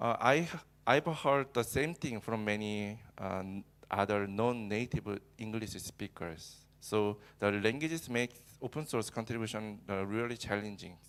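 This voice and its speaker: On a very clean recording with a silent background, a man with a Korean accent speaks at a fairly slow pace, his medium pitch showing ordinary variation. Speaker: cloud engineer and user group organizer. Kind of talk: conference talk. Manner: halting, many fillers.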